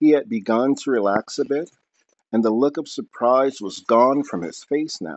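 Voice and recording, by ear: A natural voice reading aloud against a quiet background, its pitch varying in an ordinary way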